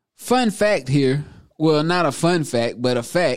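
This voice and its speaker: At a very slow pace, a man with a fairly high pitch talks with lively intonation. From South Carolina. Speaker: podcast host. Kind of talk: casual monologue. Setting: studio.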